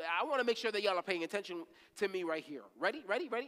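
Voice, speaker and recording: A man speaks in a raised, projected voice with a bright, sharp tone. His delivery is animated, with very wide pitch swings. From Haitian family. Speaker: ministry leader preaching. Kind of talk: sermon. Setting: church service. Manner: animated, repetitive emphasis.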